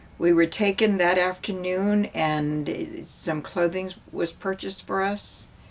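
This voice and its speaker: Noticeable background noise behind a woman at a very slow pace, medium pitch and fairly even intonation. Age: 70s. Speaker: artist. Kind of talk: personal testimony.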